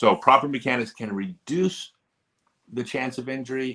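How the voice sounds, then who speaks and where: The pace here is moderate. A man is talking with an American accent. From US. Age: 50s. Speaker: disc golf pro and streamer. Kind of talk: livestream chat. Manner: animated.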